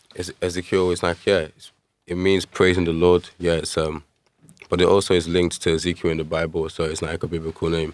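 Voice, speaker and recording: A man talks in a very deep, low voice with monotone, flat intonation. His pace is fairly quick and his loudness swings widely. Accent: London. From East London, England (born in Nigeria). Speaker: musician. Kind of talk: interview.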